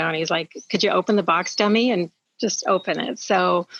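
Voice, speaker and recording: At a moderate pace and medium pitch, a woman uses an ordinary speaking voice with ordinary pitch variation. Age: 60s. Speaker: product consultant sharing testimony. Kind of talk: testimony.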